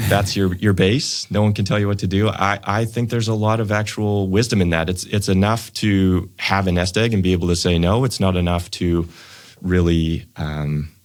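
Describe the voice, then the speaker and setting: Spoken at a moderate pace in a Canadian accent, this unremarkable speaking voice keeps a fairly even intonation and very even loudness. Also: man, fairly low pitch for a man, very clean recording, silent background. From Canadian prairies, Saskatoon, Saskatchewan. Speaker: financial planner, wealth management firm founder. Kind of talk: podcast interview.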